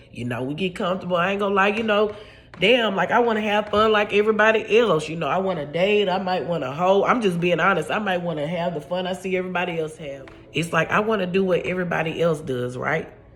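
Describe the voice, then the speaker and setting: A woman speaks at a very fast pace, medium in pitch with ordinary pitch variation. Audible room echo surrounds her voice. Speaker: podcast host. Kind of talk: casual monologue.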